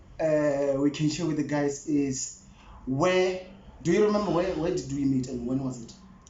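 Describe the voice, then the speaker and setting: A man speaks with a fairly high pitch and ordinary pitch variation. Room echo is audible, along with noticeable background noise. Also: moderate pace. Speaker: YouTuber. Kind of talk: casual chat.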